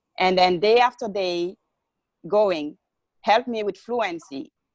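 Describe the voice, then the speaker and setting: With a non-native accent, a woman of medium pitch speaks at a fairly slow pace using ordinary pitch variation, in a dry, close sound with no echo. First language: not English. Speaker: recently certified behavior analyst, interviewee. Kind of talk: interview. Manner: halting, many fillers.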